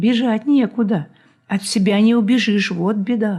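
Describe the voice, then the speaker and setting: This woman's voice is somewhat breathy. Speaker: poet reading her own work. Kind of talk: poetry reading.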